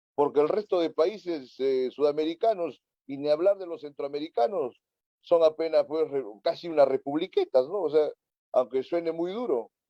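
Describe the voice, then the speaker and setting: Recorded dry and close with no echo, a man with an ordinary speaking voice talks at a moderate pace and fairly high pitch, with ordinary pitch variation. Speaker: political talk show host. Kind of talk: political interview discussion.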